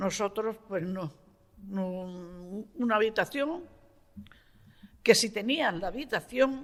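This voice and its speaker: A woman's very slow delivery carries lively intonation at a medium pitch. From Andalusia, Huéscar area (Granada). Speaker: elderly resident sharing memories. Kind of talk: oral history testimony.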